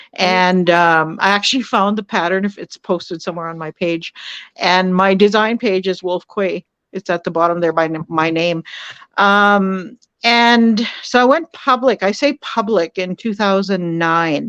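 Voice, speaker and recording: A woman with a Canadian prairie accent speaks at a fairly slow pace and medium pitch with ordinary pitch variation, in a dry, close sound with no echo against a quiet background. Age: 60s. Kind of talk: podcast interview. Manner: hesitant with many fillers.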